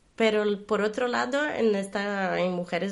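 A woman with a Portuguese accent, fairly high in pitch, with ordinary pitch variation. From Brazil. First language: Portuguese (speaking Spanish). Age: 40s. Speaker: guest commentator. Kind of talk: casual interview. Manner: halting, with repetitions.

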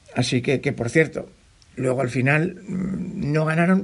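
At a very slow pace, a man with a fairly high pitch talks in lively intonation. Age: 50s. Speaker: trail running podcaster and mountain runner. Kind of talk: solo podcast monologue, personal race report. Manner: animated; repetitive fillers and restarts.

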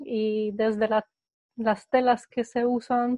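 Speaking in a Polish accent, a woman uses a fairly high pitch and a very slow pace. Her intonation stays monotone and flat. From Poland. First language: Polish (speaking Spanish). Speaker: eco startup co-founder. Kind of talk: interview. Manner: halting.

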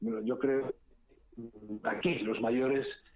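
A man of medium pitch, talking at a very slow pace. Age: 60s. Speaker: foundation trustee. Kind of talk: interview.

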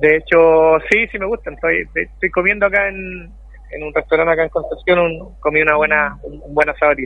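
A man speaks at a fairly quick pace. He leaves hardly any pauses. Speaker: football coach. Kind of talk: interview.

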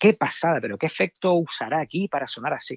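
A man at a moderate pace. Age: 50s. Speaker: rock guitarist. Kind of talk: casual chat. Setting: phone call. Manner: halting.

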